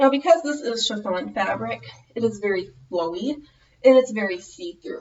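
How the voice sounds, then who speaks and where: Fairly high female voice with a Minnesota accent, very wide pitch swings and big swings in loudness. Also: moderate pace. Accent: Minnesotan American. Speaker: fashion vlogger. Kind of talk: tutorial.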